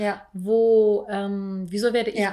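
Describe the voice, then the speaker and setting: Recorded very cleanly against a silent background, a woman speaks in a fairly high pitch. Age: 30s. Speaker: podcast co-host. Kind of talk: casual chat. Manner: halting, many fillers and repetitions.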